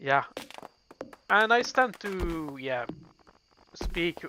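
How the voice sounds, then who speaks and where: A man is speaking. He has a Dutch accent. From Belgium. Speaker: gaming streamer. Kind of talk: casual chat while gaming.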